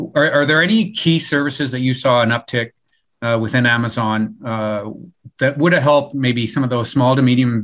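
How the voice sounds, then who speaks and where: With a Canadian accent, a man talks in an ordinary speaking voice at medium pitch. His pace is fairly quick, with ordinary pitch variation, over a quiet background. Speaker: podcast host and IT executive. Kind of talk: interview.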